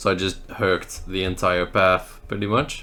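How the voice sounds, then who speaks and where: A man with a Dutch accent talks at a fairly slow pace. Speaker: mobile game YouTuber. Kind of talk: gameplay commentary.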